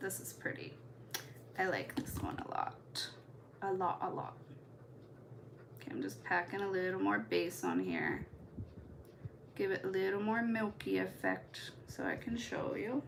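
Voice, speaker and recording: With an American accent, a woman speaks at a fairly slow pace with long, frequent pauses, against noticeable background noise and audible room echo. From US Midwest. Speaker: nail art content creator. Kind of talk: live stream tutorial chat. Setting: live stream. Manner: casual, chatty.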